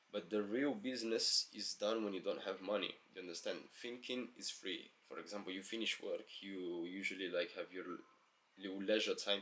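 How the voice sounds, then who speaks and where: He speaks with a non-native accent. The man's delivery comes at a fairly quick pace. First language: not English. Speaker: self-help vlogger. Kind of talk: motivational monologue. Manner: casual, filler-heavy.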